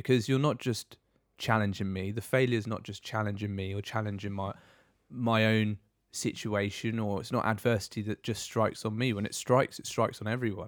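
A man with an ordinary speaking voice, fairly low in pitch, fairly even in intonation and fairly quick in pace, on a very clean recording with a silent background. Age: 30s. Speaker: former Royal Marine, motivation podcast co-host. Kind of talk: casual chat.

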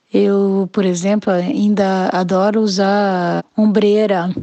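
At a very slow pace, a woman with a medium pitch and a dark, mellow tone speaks in a monotone, flat intonation. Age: 50s. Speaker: former event organizer. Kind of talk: recorded testimony.

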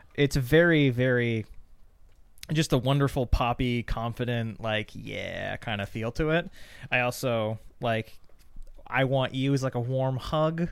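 This man's voice sits at a medium pitch with ordinary pitch variation. He speaks fairly slowly, leaving long, frequent pauses. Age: 20s. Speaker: podcast co-host. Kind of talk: casual chat.

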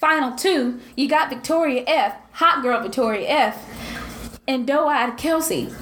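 A woman with a high pitch speaks at a fairly slow pace, hardly pausing. Her pitch variation is ordinary, and background noise is noticeable. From US South. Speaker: podcast co-host. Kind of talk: casual chat. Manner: animated.

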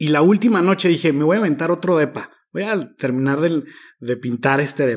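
At a fairly quick pace, the speaker shows ordinary pitch variation on a very clean recording with a silent background. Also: man, fairly high pitch for a man. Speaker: social aid organizer and teacher trainer. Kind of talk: casual interview.

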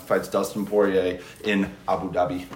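A man in an American accent, with noticeable background noise and audible room echo. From St. Louis, Missouri. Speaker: podcast guest. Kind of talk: casual chat. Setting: studio.

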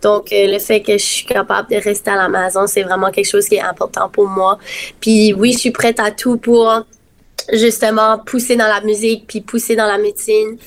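Moderately paced speech from a woman, monotone and flat in intonation. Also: fairly high pitch for a woman. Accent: Acadian. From Acadia, Dieppe, New Brunswick. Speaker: singer and nursing student. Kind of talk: casual interview.

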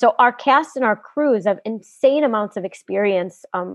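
Music plays behind a woman with an American accent who talks at a moderate pace in a medium pitch with lively intonation. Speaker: film director. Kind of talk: casual interview. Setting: video call.

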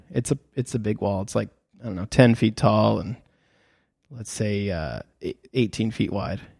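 A man speaks fairly quickly in a fairly low pitch, with vocal fry and fairly even intonation. The recording is very clean with a silent background and a dry, close sound free of echo. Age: 30s. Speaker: photographer and podcast host for creators. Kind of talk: casual solo podcast talk. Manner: casual, with many fillers and restarts.

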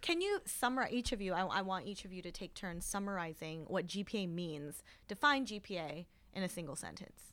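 A woman has an unremarkable speaking voice, medium in pitch with ordinary pitch variation and big swings in loudness. The recording is very clean, with a silent background. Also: fairly quick pace. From Korean American immigrant. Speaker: podcast host and educator. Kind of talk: roundtable discussion.

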